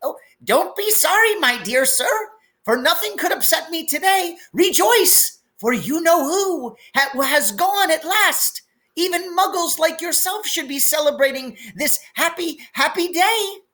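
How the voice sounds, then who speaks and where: In a put-on character voice, the speaker squeaks along at an extremely high pitch and a fairly slow pace. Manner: gleeful.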